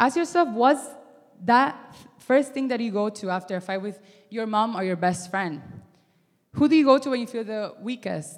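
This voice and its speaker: Pausing long and often, a woman with a non-native accent speaks at a moderate pace in a fairly high voice. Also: lively intonation. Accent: foreign-accented English. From Miami. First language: not English. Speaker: youth ministry intern. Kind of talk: sermon. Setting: stage with audience. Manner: hesitant, many fillers.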